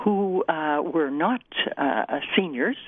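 A woman talks at a fairly slow pace with a Canadian accent. Her pitch makes very wide swings. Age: old. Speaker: seniors' advocate. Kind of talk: radio interview. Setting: phone call.

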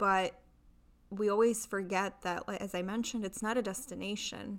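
Delivered at a moderate pace, this woman's medium-pitched voice is an unremarkable speaking voice with fairly even intonation. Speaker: hospital worker. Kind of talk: casual chat. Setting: at host's home.

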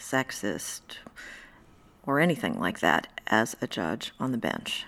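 Speaking very slowly, a woman uses vocal fry. Her voice is very deep and low. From US Midwest, Indiana. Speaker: federal judge. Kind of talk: interview.

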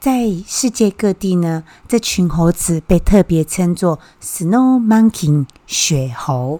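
A woman with a dark, mellow tone speaks at a fairly low pitch and a very slow pace. Her intonation is lively, and the sound is dry and close with no echo. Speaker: podcast host. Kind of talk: casual explanatory talk; reading aloud.

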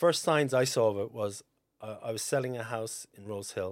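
Speaking at a fairly quick pace in a strong Cork accent, a man is heard on a very clean recording with a silent background. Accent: Cork Irish, fairly strong. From North Cork, Ireland. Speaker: estate agent. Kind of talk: casual interview chat. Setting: studio. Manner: laid-back, chatty, laughs often.

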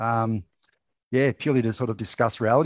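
The speaker has an Australian accent and ordinary pitch variation. The sound is dry and close with no echo, over a quiet background. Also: man. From rural New South Wales, Australia. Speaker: mental health advocate and former reality TV contestant. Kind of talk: casual interview chat.

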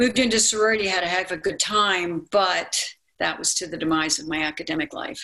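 A woman's bright, sharp tone at medium pitch, with an American accent. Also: ordinary pitch variation, fairly quick pace. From Maryland, US. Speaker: motivational speaker and narrator. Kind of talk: personal storytelling and narration.

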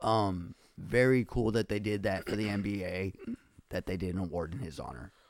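A man speaks at a fairly low pitch with vocal fry. His pace is moderate and his pitch variation ordinary. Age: 20s. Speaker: podcaster and rapper. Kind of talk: casual chat.

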